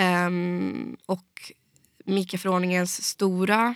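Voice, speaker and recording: Captured in a very clean recording with a silent background, a woman speaks in a flat monotone with a bright, sharp tone. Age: 20s. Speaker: fintech industry association head. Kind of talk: interview.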